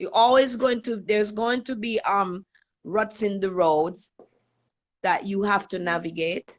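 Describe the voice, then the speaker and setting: A woman with a plain, everyday voice at medium pitch, a fairly slow pace and ordinary pitch variation. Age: 60s. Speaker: retreat leader. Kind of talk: casual chat.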